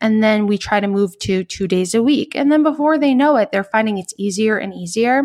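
This is an unremarkable speaking voice with an American accent. It moves at a moderate pace with ordinary pitch variation. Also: woman. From New York. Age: 30s. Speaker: cardiologist. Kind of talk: interview.

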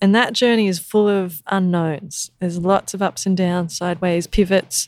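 At a moderate pace, a woman with an Australian accent speaks in a dry, close sound with no echo. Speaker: sustainability educator. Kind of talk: interview.

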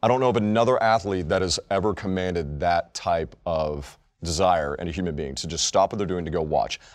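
Against a quiet background, a man with an American accent and a very deep, low pitch talks at a fairly quick pace with ordinary pitch variation and hardly any pauses. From Texas. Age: 30s. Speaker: sports podcast co-host. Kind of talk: casual chat. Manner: animated.

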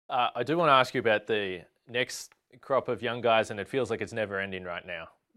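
A man speaks at a fairly quick pace with a medium pitch and an ordinary speaking voice. The recording is very clean, with a silent background. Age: 30s. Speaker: sports journalist. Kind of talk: interview.

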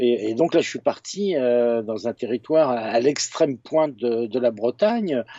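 Talking fairly slowly, the man holds a medium pitch that shifts in an ordinary way. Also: hardly any pauses. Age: 50s. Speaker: photojournalist and author. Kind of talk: casual interview. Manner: halting, many repetitions and fillers.

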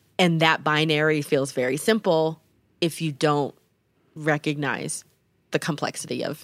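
A woman speaks at a moderate pace with a very deep, low pitch. Her speech is broken by long, frequent pauses. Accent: American. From Denver, Colorado. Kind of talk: casual chat. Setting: home basement recording.

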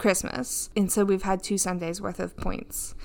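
A woman at a fairly slow pace with ordinary pitch variation, an ordinary speaking voice, on a very clean recording with a silent background. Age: 30s. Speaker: podcast co-host, pastor's wife. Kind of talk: casual chat.

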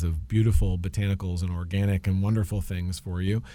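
A man speaks in a plain, everyday voice. His pitch is fairly low with ordinary pitch variation. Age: 50s. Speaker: landscaping and pest control business owner, co-host. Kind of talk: radio talk show.

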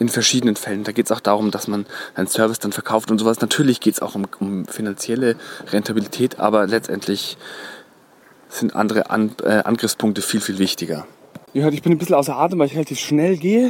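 With lively intonation and a medium pitch, a man talks very fast over noticeable background noise. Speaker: podcast host. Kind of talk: solo podcast monologue. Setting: outdoors, walking in the woods. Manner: frequent filler hesitations.

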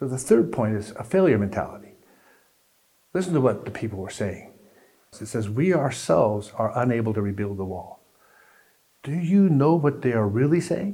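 A man's somewhat breathy, dark, mellow voice at a medium pitch, with very wide pitch swings, a moderate pace, long, frequent pauses and audible room echo. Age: 60s. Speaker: pastor. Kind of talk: sermon.

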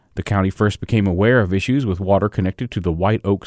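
Someone speaks at a very fast pace with ordinary pitch variation, in a dry, close sound with no echo on a very clean recording with a silent background. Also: man. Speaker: news host. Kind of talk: news reading.

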